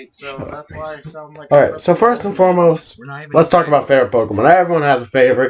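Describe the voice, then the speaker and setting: A man speaks at a very fast pace and fairly high pitch with lively intonation and big swings in loudness. Background noise is noticeable. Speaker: podcast co-host. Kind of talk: casual chat. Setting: home recording, late night. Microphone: far from the mic.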